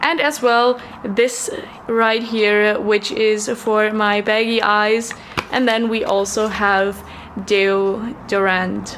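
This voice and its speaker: A woman with a fairly high pitch talks at a very slow pace, her loudness very even. Her intonation stays fairly even, and there is noticeable background noise. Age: 20s; young. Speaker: vlogger. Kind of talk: vlog.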